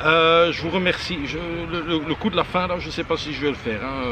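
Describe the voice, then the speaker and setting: A man's fairly high voice at a moderate pace, with noticeable background noise. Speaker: travel vlogger. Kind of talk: travel vlog. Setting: monastery among monks, on location. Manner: halting, stammering; soft-spoken.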